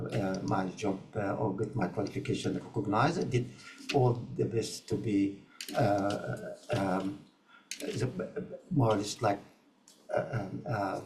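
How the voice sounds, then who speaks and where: A man talks fairly slowly in a fairly low pitch, with lively intonation and long, frequent pauses. The recording has audible room echo and noticeable background noise. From Egypt. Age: 80s+. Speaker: community health ambassador. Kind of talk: interview. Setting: online video conference. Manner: halting, many fillers.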